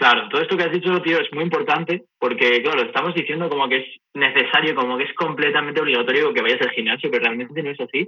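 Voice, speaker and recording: A man with fairly high pitch and lively intonation rushes along at a very fast pace. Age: 20s. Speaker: gym enthusiast and former tennis player. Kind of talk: interview.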